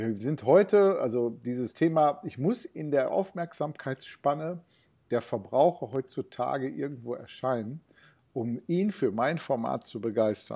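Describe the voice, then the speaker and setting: Lively intonation and a dark, mellow tone over a quiet background. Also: man, fairly high pitch for a man, fairly slow pace. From Ruhr area, Germany (Bottrop); Ruhr area, Germany. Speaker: retail innovation consultant; interview guest. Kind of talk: interview. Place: home room. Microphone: earbuds.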